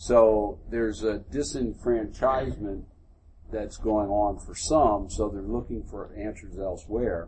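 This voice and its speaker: Somewhat breathy and fairly low-pitched, a man with an American accent speaks at a fairly slow pace with ordinary pitch variation and big swings in loudness, with audible room echo. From US Northeast, Philadelphia. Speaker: military general. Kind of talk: onstage interview before a live audience.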